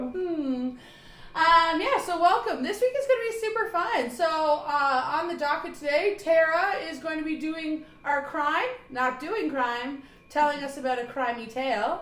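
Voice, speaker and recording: A loud woman with an extremely high pitch talks at a moderate pace with lively intonation, and audible room echo surrounds her. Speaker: podcast host. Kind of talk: casual chat. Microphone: close to mic, others' mics far away.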